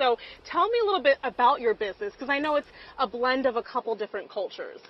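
A high-pitched woman's voice, dry and without echo. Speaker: TV news reporter. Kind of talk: live news report. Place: open country. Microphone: lapel.

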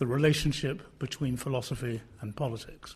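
A somewhat breathy man is speaking. His pace is moderate and his pitch variation ordinary. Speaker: philosophy academic. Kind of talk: panel discussion. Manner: formal.

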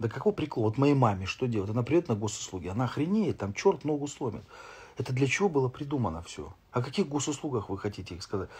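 A man talks at a very fast pace with very wide pitch swings. His voice is somewhat breathy. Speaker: streamer. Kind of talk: casual live stream chat answering comments. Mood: irritated ranting about fines. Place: home room. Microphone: phone near.

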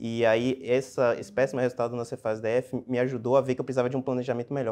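A man talks at a very fast pace. His intonation stays flat and monotone. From Brazil, Salvador (Bahia). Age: 30s. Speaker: public auditor, exam passer; candidate. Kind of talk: interview. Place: meeting room. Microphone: lapel.

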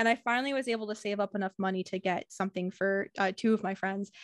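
A woman speaks against a quiet background. Her sound is dry with no echo. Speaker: video host. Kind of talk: casual interview chat. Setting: video call. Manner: warm, upbeat. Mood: upbeat, cheerful. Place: home room. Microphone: studio mic.

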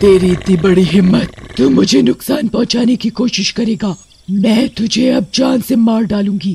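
A man puts on a high-pitched cartoonish character voice at a moderate pace. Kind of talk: horror cartoon voice acting. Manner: taunting, menacing.

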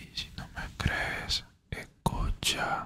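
Whispering, a man speaks. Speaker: ASMR creator. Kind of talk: ASMR motivational talk to listener. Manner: whispered. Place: home room.

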